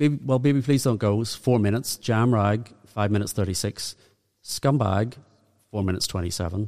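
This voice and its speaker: Speaking at a fairly quick pace in a Northern Irish accent, a man uses a fairly low pitch with ordinary pitch variation. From Northern Ireland. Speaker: music podcast co-host. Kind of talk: casual chat.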